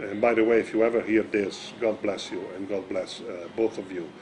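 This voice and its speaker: A man's fairly low voice in an Italian accent, with noticeable background noise. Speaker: magician. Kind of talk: interview. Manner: halting.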